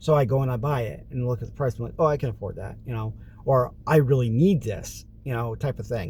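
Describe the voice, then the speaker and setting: At a fairly quick pace, a man with a medium pitch and ordinary pitch variation speaks in a dark, mellow, somewhat breathy tone. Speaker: vlogger. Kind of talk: casual vlog monologue.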